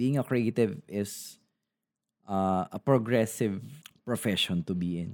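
A man with a Filipino accent speaks fairly slowly in a fairly low pitch, with ordinary pitch variation and long, frequent pauses. The recording is very clean with a silent background, and the sound is dry and close with no echo. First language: Tagalog. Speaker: podcaster, game developer and YouTuber. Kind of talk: casual solo podcast monologue, Taglish. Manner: code-switching between English and Tagalog, with fillers.

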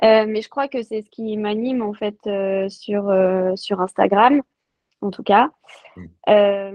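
A woman speaks at a very slow pace with a medium pitch for a woman. Her intonation is fairly even, though her loudness swings widely. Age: 30s. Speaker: sports nutrition coach. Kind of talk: interview.

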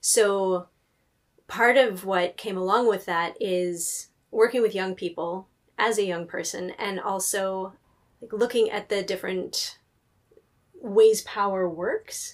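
Pausing long and often, a woman with a West Coast accent speaks at a very slow pace and medium pitch, her intonation fairly even. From US Pacific Northwest, near Seattle. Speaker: librarian. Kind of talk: interview conversation.

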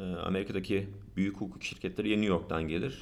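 A man talks at a very fast pace with vocal fry and ordinary pitch variation. There is audible room echo. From United States. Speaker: patent lawyer. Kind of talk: interview.

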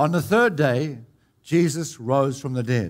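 Here a man speaks in a fairly high pitch. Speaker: pastor. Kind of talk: altar-call healing ministry, directing the sick forward and commanding healing. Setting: church service with congregation. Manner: repetitive, urgent exhortation.

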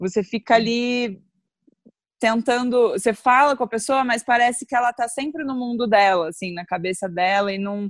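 A woman talks at a high pitch and a fairly quick pace, with ordinary pitch variation. The sound is dry and close, with no echo. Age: 30s. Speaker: guest on astrology podcast. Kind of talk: casual chat.

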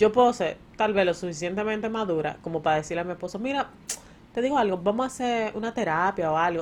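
Over music in the background, a woman with a Dominican accent speaks at a medium pitch in an animated tone with lively intonation. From Dominican Republic. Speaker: podcast co-host. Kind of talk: casual chat.

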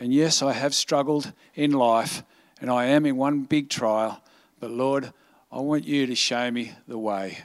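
A man with an unremarkable speaking voice, medium pitch and fairly even intonation talks at a fairly slow pace in a very clean recording with a silent background. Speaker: church staff member. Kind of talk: prayer and closing remarks.

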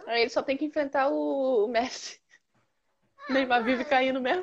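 A woman speaks at a moderate pace. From Brazil, Rondônia. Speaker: podcast co-host. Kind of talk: casual chat. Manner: animated.

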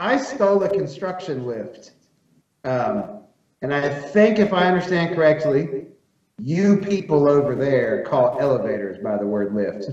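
A man speaks with an American accent at a fairly high pitch. His pitch swings very widely, and room echo can be heard. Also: fairly slow pace. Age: 30s. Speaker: magazine editor and farmer. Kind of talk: casual chat.

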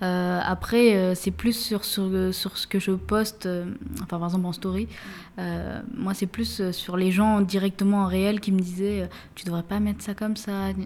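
Her voice sits at a medium pitch, flat and monotone. The woman speaks at a fairly slow pace. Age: 20s. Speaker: software engineer and local councillor. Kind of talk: casual conversation.

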